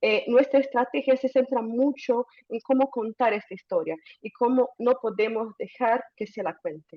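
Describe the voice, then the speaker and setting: Speaking with a Portuguese accent, a woman with a high pitch keeps a moderate pace and ordinary pitch variation. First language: Portuguese (speaking Spanish). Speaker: climate communication advocate. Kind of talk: webinar presentation.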